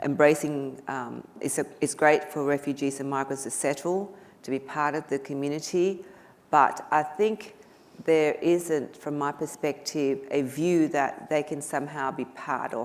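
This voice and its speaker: Fairly slow speech from a woman with a very deep, low pitch and fairly even intonation. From Vietnam. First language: Vietnamese. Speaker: politician. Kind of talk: panel discussion. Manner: halting.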